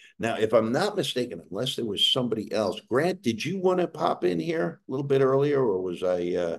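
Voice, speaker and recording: A man in a New York accent talks with hardly any pauses and very wide pitch swings. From New York City. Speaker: webcast host, former diplomat. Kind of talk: hosting an online event.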